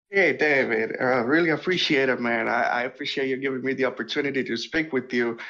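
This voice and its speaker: The speaker talks at a very fast pace, with a bright, sharp tone and ordinary pitch variation. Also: man, medium pitch for a man. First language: not English. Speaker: caller. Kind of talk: call-in conversation.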